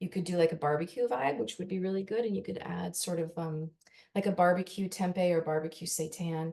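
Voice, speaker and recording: A woman's fairly low voice carries a dark, mellow tone. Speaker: personal chef and nutritionist. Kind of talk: cooking demonstration.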